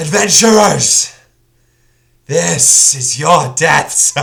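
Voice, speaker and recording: Putting on a character voice, a man speaks very slowly in a raspy, breathy tone at a fairly high pitch. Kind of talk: regal. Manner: menacing, like exhaled fire.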